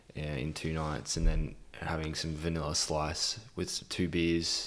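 Audible room echo surrounds a fairly slow delivery. The intonation is monotone and flat. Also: man, very deep, low pitch for a man. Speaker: podcast co-host. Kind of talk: casual chat. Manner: quiet, lowered voice.

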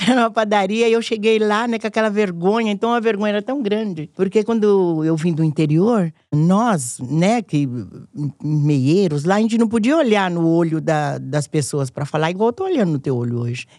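The tone is dark and mellow, delivered at a moderate pace. Pitch swings very widely throughout. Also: woman, medium pitch for a woman. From rural Minas Gerais, Brazil. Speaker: cook and writer, former housekeeper. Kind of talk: casual chat.

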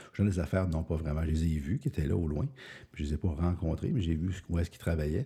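A man talks at a very fast pace with a very deep, low pitch. His voice is somewhat breathy, with ordinary pitch variation. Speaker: podcaster and author. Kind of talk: solo podcast monologue. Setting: early morning recording. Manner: casual, hesitant with fillers.

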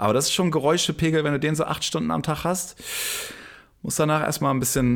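Vocal fry marks a man's very fast speech in a very clean recording with a silent background. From northern Germany, Flensburg. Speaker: drummer. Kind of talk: casual chat.

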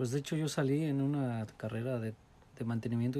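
Dark and mellow in tone, this man's voice is somewhat breathy and sits at a medium pitch. He talks at a moderate pace with monotone, flat intonation. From Morelos, Mexico. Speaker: immigrant interviewee. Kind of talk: interview. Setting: at home.

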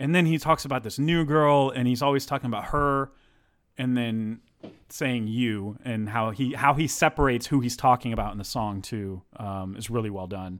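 At a moderate pace, a man speaks in an unremarkable speaking voice with a medium pitch and ordinary pitch variation. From Texas. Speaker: podcast co-host. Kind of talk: casual chat.

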